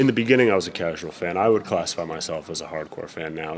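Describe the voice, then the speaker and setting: With an American accent, the man talks at a very fast pace. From Denver, Colorado, USA. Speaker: professional ring announcer. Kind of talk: interview answer.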